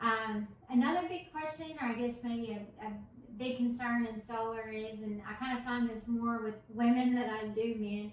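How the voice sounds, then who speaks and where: Noticeable background noise and audible room echo surround this recording. A woman with a Southern accent talks at a moderate pace. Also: fairly high pitch for a woman, ordinary pitch variation. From Tennessee, US South. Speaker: solar advisor. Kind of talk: casual explainer.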